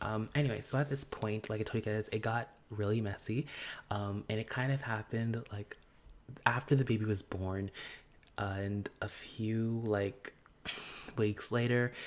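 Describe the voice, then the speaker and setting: Soft-spoken, calm-toned speech at a moderate pace with long, frequent pauses. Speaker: gaming YouTuber. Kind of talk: casual commentary over gameplay. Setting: filming outside own room. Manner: calm, soft indoor voice.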